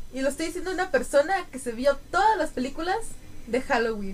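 Speaking at a fairly quick pace with a Mexican accent, a woman uses a high pitch and very wide pitch swings. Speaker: student podcast co-host. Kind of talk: casual chat. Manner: animated.

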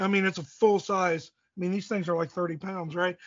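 Intonation stays fairly even as a man speaks in a high-pitched voice. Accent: American. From US Midwest, southeast Indiana. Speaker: archery gear maker. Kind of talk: casual interview. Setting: phone call. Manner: rambling.

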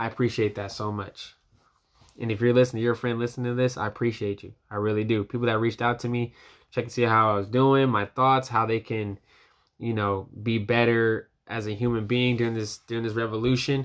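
A man with an American accent talks at a fairly quick pace and a medium pitch. His intonation is monotone and flat, in a very clean recording with a silent background. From United States. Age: young. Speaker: podcast host. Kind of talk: solo commentary. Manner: impassioned; halting.

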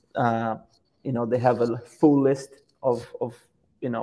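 With a Portuguese accent, a man speaks at a fairly slow pace and a medium pitch. His dark, mellow tone stays monotone and flat. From Brazil, Petrópolis near Rio de Janeiro. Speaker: professional footballer. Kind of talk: interview. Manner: halting, repeats words.

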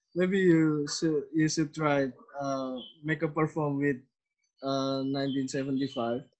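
A man speaks at a very slow pace with a fairly high pitch. His intonation stays flat and monotone. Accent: Indonesian. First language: Indonesian. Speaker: podcast host. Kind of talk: casual interview. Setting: video call. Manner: halting, many fillers.

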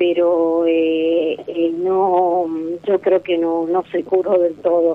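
In a monotone, flat delivery, a woman talks with a fairly low pitch. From Argentina, Catamarca (capital city). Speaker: caller. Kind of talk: phone-in counselling conversation.

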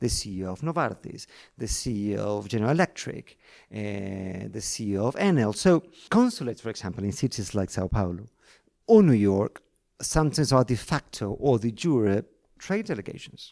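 With a Spanish accent and lively intonation, a man speaks at a fairly low pitch in a dark, mellow tone on a very clean recording with a silent background. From Argentina, Buenos Aires. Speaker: foreign correspondent journalist. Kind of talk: interview conversation. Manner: halting, many repetitions.

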